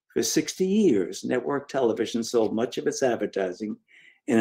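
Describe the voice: Simple, plain reading aloud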